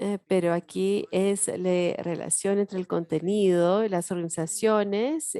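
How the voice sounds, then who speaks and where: A woman speaks at a medium pitch with an English accent, with a dark, mellow tone and ordinary pitch variation. She talks at a fairly slow pace with hardly any pauses, in a dry, close sound with no echo. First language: English (speaking Spanish). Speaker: education professor. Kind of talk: workshop lecture.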